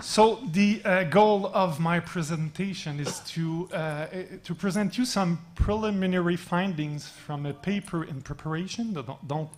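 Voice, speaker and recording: Speaking in a French Canadian accent with hardly any pauses, the voice comes through over noticeable background noise. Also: fairly slow pace. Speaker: mentoring researcher. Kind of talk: panel presentation. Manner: reading from notes; halting.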